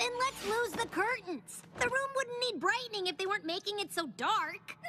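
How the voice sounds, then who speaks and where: Over clear music in the background, a female-sounding cartoonish character voice squeaks at an extremely high pitch. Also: moderate pace. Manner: brash, energetic.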